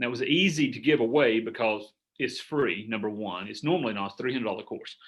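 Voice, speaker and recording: With a Southern US accent, a man talks at a very fast pace in a medium pitch with ordinary pitch variation. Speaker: business coach. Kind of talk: group coaching call. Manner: casual, rambling with fillers.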